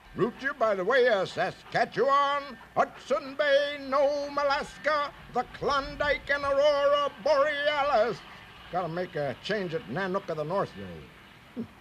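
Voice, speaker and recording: Against clear background noise, a man puts on a character voice and speaks at a fairly slow pace. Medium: read story.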